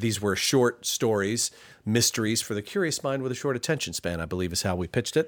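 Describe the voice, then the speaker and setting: With a normal speaking voice, this man talks at a fairly quick pace and medium pitch, his intonation lively. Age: 50s. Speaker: podcast producer and co-host. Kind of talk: casual chat. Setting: home studio.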